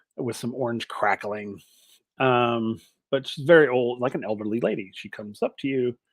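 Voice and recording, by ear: The speaker is reading aloud in a natural voice with fairly even intonation. The background is quiet.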